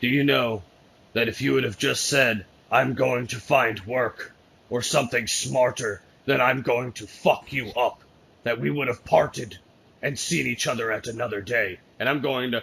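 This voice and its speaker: Putting on a raspy character voice, a man at medium pitch speaks at a moderate pace. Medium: actual play. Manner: dry, confident.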